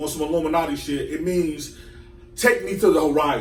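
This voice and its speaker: A man at a fairly quick pace, ordinary pitch variation, and noticeable background noise behind him. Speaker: podcast host. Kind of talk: casual chat.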